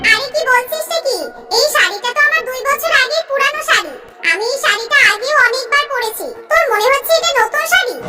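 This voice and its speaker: In a cartoonish character voice, a woman speaks at a moderate pace, squeaky and extremely high-pitched with lively intonation, over music in the background. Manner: warm, trusting.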